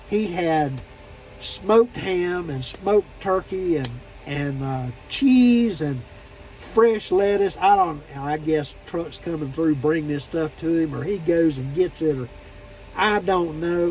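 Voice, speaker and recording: A man's high voice with ordinary pitch variation, a fairly slow pace and noticeable background noise. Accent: Southern US. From Florida. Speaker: truck driver vlogger. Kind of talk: casual vlog monologue. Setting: parked at truck terminal. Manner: relaxed, storytelling.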